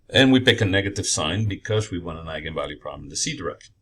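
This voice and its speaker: Against a silent background in a very clean recording, a man's speech moves fairly quickly. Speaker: engineering professor. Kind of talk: lecture.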